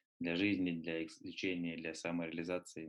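A man's very deep, low-pitched voice. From Russia (Nalchik, then Moscow from 14). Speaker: book publisher and triathlon coach. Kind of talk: interview.

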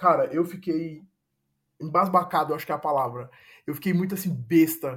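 High pitch and ordinary pitch variation in a man's voice. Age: 20s. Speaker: advertising professional. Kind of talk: casual chat. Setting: video call.

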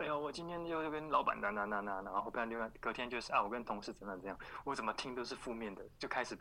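Bright and sharp in tone, this voice moves at a very fast pace with ordinary pitch variation, recorded very cleanly against a silent background. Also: man. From Taiwan. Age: young. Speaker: former expat office worker. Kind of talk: podcast interview.

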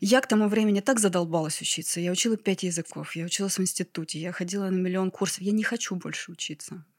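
A woman races along at a very fast pace, medium in pitch with fairly even intonation. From Ryazan, Russia. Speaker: flower farmer. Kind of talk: casual interview chat.

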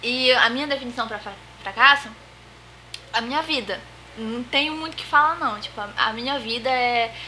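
A woman with a high voice speaks at a moderate pace with fairly even intonation, long, frequent pauses and big swings in loudness over noticeable background noise. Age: 20s. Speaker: host's sister, unemployed. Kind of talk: casual chat.

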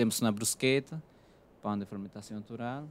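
Pitched in the medium range with ordinary variation, a man talks at a moderate pace. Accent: Spanish. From Peru. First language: Spanish (speaking Portuguese). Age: 30s. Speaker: chef. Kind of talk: interview.

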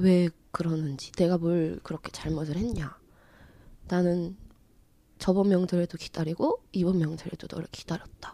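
A woman's fairly low, dark, mellow voice with fairly even intonation, a moderate pace, and long, frequent pauses. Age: 30s. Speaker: counseling program guest. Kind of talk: casual conversation.

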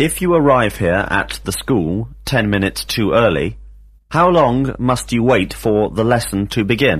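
Speaking at a fairly slow pace, a man with a fairly low pitch and a somewhat breathy voice keeps his loudness very even while his intonation stays lively. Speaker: English teacher. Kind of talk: language lesson drill. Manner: formal.

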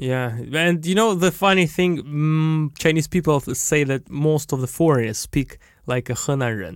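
On a very clean recording with a silent background, a man with a Russian accent talks at a fairly slow pace in a fairly high pitch. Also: ordinary pitch variation. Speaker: podcast co-host, entrepreneur. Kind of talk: casual chat.

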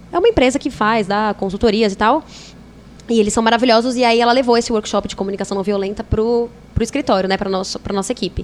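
A woman's very fast speech, fairly high-pitched and fairly even in intonation, over noticeable background noise. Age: 20s. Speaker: podcast guest, yoga and spirituality enthusiast. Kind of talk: casual chat.

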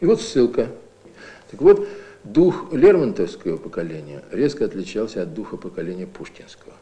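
With big swings in loudness and long, frequent pauses, a man talks at a moderate speed against noticeable background noise. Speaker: literature professor. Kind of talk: academic commentary in an interview. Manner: thoughtful, explanatory, somewhat halting, unscripted.

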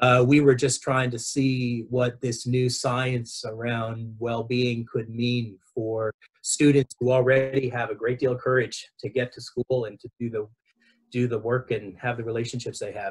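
In a Southern Californian accent, a man speaks at a fairly slow pace with a medium pitch, monotone, flat intonation and a somewhat breathy quality. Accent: Southern Californian American. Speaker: education director and educator. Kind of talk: interview conversation.

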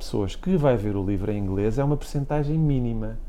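The voice has a dark, mellow tone and very wide pitch swings. It moves at a fairly quick pace. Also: man. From Portugal, Caldas da Rainha. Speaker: graphic designer. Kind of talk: interview.

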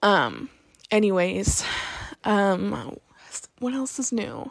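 The recording of the woman is very clean, with a silent background. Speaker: podcast host. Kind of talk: personal monologue. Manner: hesitant, many fillers.

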